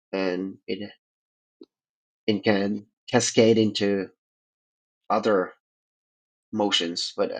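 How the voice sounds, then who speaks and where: A man with a non-native accent speaks at a very slow pace, leaving long, frequent pauses. His pitch is fairly low and his intonation is a flat monotone. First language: not English. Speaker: participant in a religion roundtable. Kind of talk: debate, casual discussion. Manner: halting, many fillers.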